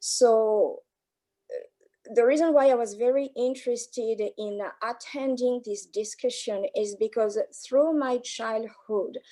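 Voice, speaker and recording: A woman with a French accent speaks very slowly at a high pitch in a dark, mellow tone with fairly even intonation, in a very clean recording with a silent background. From France. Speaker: anti-racism network ambassador. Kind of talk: panel introduction.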